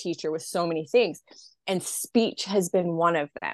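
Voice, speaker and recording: A woman with an American accent at a medium pitch and moderate pace, with ordinary pitch variation, over a quiet background. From US, rural Idaho. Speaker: mental health content creator and mother. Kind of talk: interview.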